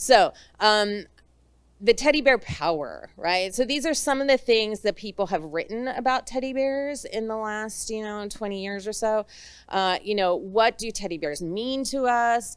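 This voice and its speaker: Her voice is fairly high, with ordinary pitch variation and a moderate pace. The recording is very clean, with a silent background. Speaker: academic conference panelist. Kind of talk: academic conference presentation. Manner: hesitant, many filler words.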